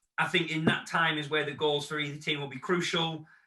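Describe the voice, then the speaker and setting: In a northern English accent, a man with a fairly high voice talks at a very fast pace with monotone, flat intonation and audible room echo. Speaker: football fan channel host. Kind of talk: casual chat; outro to camera.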